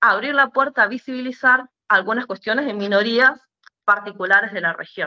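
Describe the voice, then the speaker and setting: Her voice has a bright, sharp tone at a fairly high pitch. The woman speaks with lively intonation. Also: dry, close sound with no echo. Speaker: muralist. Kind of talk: panel discussion. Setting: online event. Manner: hesitant, many fillers.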